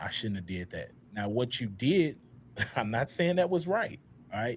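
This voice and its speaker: The speaker is a man with a medium pitch. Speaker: podcast host. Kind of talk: panel discussion. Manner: halting.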